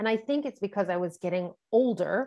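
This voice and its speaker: A woman at a moderate pace, with a slight New York accent. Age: 40s. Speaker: intuitive coach and energy healer. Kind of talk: podcast interview. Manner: hesitant, many fillers.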